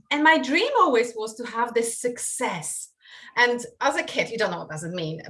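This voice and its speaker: A woman speaks at a high pitch in a Polish accent, at a moderate pace. Her pitch swings very widely and her loudness rises and falls sharply. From Poland. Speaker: online marketing coach. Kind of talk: podcast interview. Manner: hesitant with fillers.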